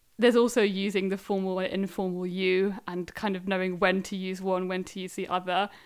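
Speaking fairly quickly with an English accent, a woman keeps a monotone, flat intonation and hardly any pauses while her loudness swings widely, on a very clean recording with a silent background. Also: medium pitch for a woman. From England. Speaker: language learner. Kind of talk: interview.

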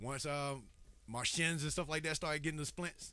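On a very clean recording against total silence, a man speaks in a bright, sharp tone. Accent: Southern US. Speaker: hip hop artist and rapper. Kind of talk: casual interview chat.

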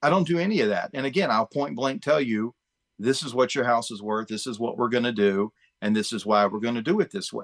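A man with an American accent has an ordinary speaking voice at a medium pitch and lively intonation. He talks at a fairly quick pace, and the sound is dry and close with no echo. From Chesapeake, Virginia, US. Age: 50s. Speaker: real estate agent. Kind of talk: casual interview. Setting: video call.

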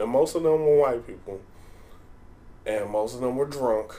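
With a dark, mellow tone, a man talks at a medium pitch and a moderate pace. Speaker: podcast host. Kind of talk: casual banter. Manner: playful, joking.

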